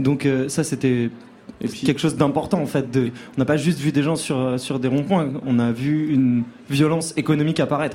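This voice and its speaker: A man with a plain, everyday voice, fairly high-pitched, at a moderate pace with fairly even intonation. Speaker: band member. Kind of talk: casual interview.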